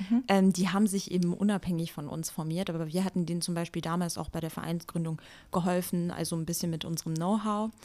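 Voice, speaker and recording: The speaker talks at a very fast pace with a dark, mellow tone and fairly even intonation, on a very clean recording with a silent background. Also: woman, fairly low pitch for a woman. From Germany, Wiesbaden. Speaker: youth association chair. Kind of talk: podcast interview.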